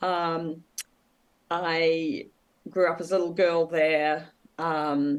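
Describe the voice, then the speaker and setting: A woman's fairly low voice with a New Zealand accent, very slow and in a monotone, flat intonation. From New Zealand, Wellington. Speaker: author and former travel agent. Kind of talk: interview. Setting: podcast interview. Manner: hesitant, many fillers.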